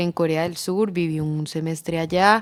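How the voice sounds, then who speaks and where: Speaking with an Antioquian accent, a woman uses a fairly low pitch at a moderate pace. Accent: Colombian paisa Spanish. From Colombia, Medellín (paisa). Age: 20s. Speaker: economist, business association director. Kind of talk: interview. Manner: hesitant fillers.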